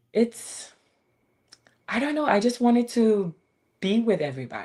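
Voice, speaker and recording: This voice carries a non-native accent. Its delivery runs at a moderate speed. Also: woman. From Ghana and Japan. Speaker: fashion designer. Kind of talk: interview.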